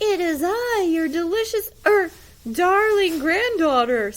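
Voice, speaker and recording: This is a put-on character voice, squeaky and extremely high. It moves at a fairly slow pace. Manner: deceptive, sweetly put on.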